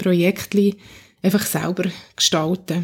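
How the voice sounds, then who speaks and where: A woman speaks at a fairly slow pace. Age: 40s. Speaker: church youth worker. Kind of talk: interview. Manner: halting.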